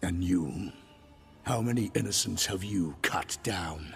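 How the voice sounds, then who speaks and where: A man's put-on character voice, growling at a very deep, low pitch and a fairly slow pace, with clear music in the background. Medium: video game. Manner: cold, measured, menacing.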